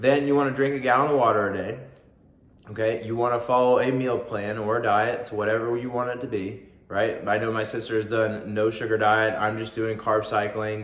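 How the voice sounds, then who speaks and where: A man's monotone, flat delivery with audible room echo. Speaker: fitness vlogger. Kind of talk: casual vlog explanation. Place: home room. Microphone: phone near.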